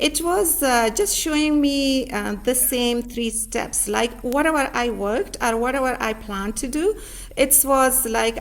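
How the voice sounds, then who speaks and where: Speaking at a fairly slow pace with a non-native accent, a woman uses a high pitch and ordinary pitch variation. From Pakistan, rural village. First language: not English. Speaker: author and learning center owner. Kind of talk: interview. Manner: halting, many fillers.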